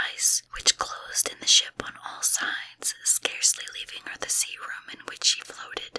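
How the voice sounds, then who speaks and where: A woman is whispering at a moderate pace. The sound is dry and close, with no echo. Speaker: ASMR content creator. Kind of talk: whispered audiobook reading of a classic novel, ASMR. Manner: whispered, quiet, relaxing.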